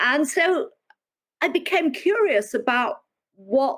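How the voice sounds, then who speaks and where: A woman talks in a British accent. Her pace is very slow. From United Kingdom. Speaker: historian, professor. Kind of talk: interview.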